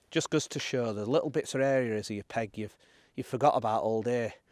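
A man at medium pitch, fairly quick in pace, with a slightly mellow tone. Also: ordinary pitch variation.

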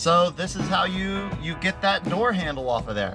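A man talks at a moderate pace. Music plays clearly behind him. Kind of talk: tutorial. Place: street. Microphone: camera far.

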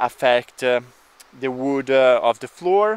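A man is speaking. He goes at a very slow pace. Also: dry sound with no echo. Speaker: vlogger. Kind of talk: casual vlog chat. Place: garden. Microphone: phone near.

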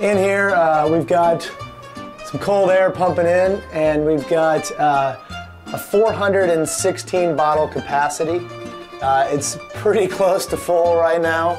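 Clear music plays in the background as a man speaks at a very slow pace with a high pitch and ordinary pitch variation. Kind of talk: casual tour. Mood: cheerful, proud. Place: home room.

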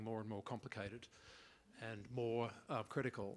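A man talks with an Australian accent and fairly even intonation. There is light background noise. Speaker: head of a regional internet address registry. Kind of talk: workshop discussion. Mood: earnest, concerned about funding. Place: meeting room.

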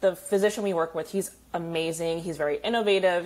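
Speaking very fast, a woman uses ordinary pitch variation. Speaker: guest. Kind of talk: interview answer. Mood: upbeat, friendly. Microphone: earbuds.

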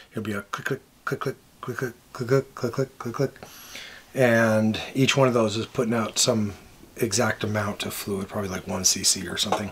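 Pausing long and often, a man talks at a moderate pace with fairly even intonation over light background noise. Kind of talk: casual explanatory vlog chat. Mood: cheerful, relaxed.

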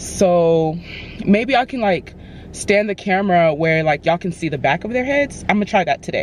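A woman at a moderate pace with lively intonation, dry sound with no echo and light background noise. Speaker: stylist vlogger. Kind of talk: casual vlog chat. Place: car. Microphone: phone near.

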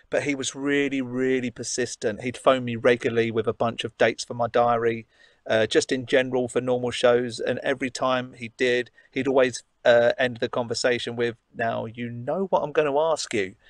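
Over a quiet background, a man talks at a moderate pace with fairly even intonation, the sound dry with no echo. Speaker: guest. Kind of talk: interview answer. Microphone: video call.

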